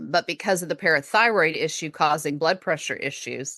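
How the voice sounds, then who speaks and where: In an American accent, a woman speaks with a fairly low pitch and a bright, sharp tone, recorded dry and close with no echo against a quiet background. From Texas. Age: 40s. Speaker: podcast host and chronic illness patient. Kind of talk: interview conversation.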